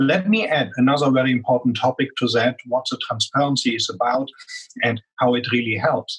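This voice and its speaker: With a strong German accent, a man speaks at a fairly quick pace and a medium pitch. His voice is somewhat breathy, with ordinary pitch variation. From Germany. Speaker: business executive. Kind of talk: interview.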